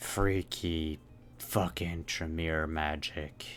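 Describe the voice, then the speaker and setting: Over clear background noise, someone delivers a put-on character voice at a very slow pace. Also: man, very deep, low pitch for a man. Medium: actual play. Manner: blunt, dry.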